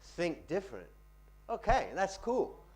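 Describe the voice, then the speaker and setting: Intonation rises and falls in a lively way as a man speaks. Audible room echo is present. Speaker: finance lecturer and pitching trainer. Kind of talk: Q&A after a talk. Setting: lecture room with audience. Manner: fast.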